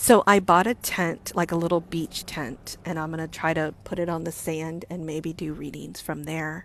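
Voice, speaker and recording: A quiet woman's voice, fairly low-pitched, with big swings in loudness and hardly any pauses. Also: fairly even intonation, moderate pace. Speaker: psychic medium. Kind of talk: casual live-stream chat. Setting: in a car.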